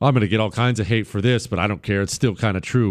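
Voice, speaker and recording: An animated man talks in a very clean recording with a silent background. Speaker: radio talk show host. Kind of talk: talk radio monologue.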